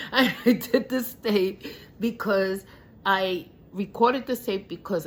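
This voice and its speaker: A woman speaks at a very slow pace. Her voice sits at medium pitch with ordinary pitch variation. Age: 60s. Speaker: caregiver. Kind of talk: personal vlog monologue. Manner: halting, stuttering.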